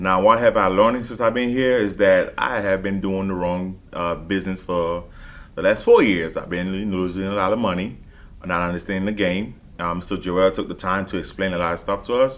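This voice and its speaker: Speaking with a Haitian accent, a man with a very deep, low pitch talks at a fairly quick pace with fairly even intonation. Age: 20s. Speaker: transportation business owner. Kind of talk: testimonial. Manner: halting, many fillers.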